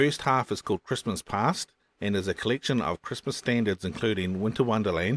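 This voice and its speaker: With a New Zealand accent, the speaker moves at a fairly quick pace with lively intonation on a very clean recording with a silent background. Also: man. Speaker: podcast host. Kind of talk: upbeat radio DJ patter, cheerful lead-in to a song segment. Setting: home recording, fan running in background. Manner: chatty, warm, enthusiastic.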